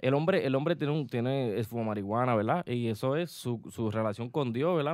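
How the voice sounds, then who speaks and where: A man's unremarkable speaking voice at medium pitch, with lively intonation, a fairly quick pace, and a very clean recording over a silent background. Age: 20s. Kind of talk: casual chat. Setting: studio.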